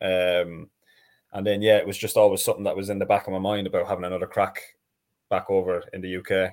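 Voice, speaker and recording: The recording is very clean, with a silent background. On it, a man talks at a very fast pace. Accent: Irish. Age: 30s. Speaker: professional footballer. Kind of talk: casual chat.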